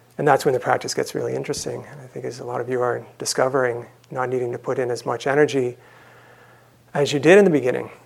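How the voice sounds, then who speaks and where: At a very fast pace, a man with vocal fry speaks in a medium pitch with fairly even intonation. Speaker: meditation teacher. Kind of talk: dharma talk. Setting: stage with audience at retreat center. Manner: halting.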